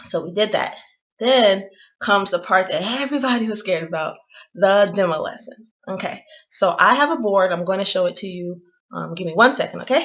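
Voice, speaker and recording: An American accent carries a fairly quick pace, an energetic tone and lively intonation. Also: woman, medium pitch for a woman. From United States. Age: 20s. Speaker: vlogger. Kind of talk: casual how-to vlog.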